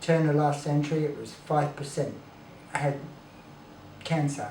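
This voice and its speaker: A man with an Australian accent at a moderate pace, fairly high in pitch, over noticeable background noise with audible room echo. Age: 60s. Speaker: raw food advocate. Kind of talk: casual chat.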